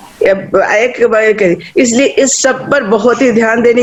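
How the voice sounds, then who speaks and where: Noticeable noise runs behind a woman's voice. She speaks at a high pitch with ordinary pitch variation. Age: 60s. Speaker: education activist. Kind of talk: public speech. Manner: animated.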